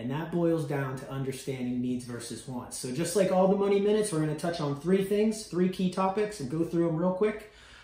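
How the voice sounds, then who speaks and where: In an energetic tone, a man talks at a high pitch with ordinary pitch variation, over noticeable background noise and audible room echo. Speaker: university financial literacy educator. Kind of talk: informal educational talk to students. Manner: fast; energetic, conversational.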